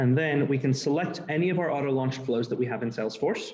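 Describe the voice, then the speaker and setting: A man's slightly breathy voice, its pitch moving in a typical way. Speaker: developer advocate. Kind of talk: technical presentation demo. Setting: live presentation with in-person and Zoom audience. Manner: fast.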